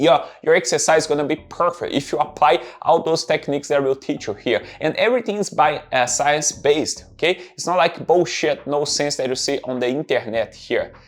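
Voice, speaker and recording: This man's voice sits fairly high in pitch, with ordinary variation. He talks at a fairly quick clip with hardly any pauses. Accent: strong Brazilian. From Brazil. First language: Portuguese. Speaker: fitness trainer. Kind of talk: tutorial.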